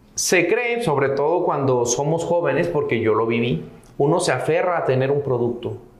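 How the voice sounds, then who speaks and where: With audible room echo and noticeable background noise, a man speaks with ordinary pitch variation. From northern Mexico (Sierra de Santiago, Nuevo León). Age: 30s. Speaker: entrepreneur in recycling and real estate. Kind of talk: interview.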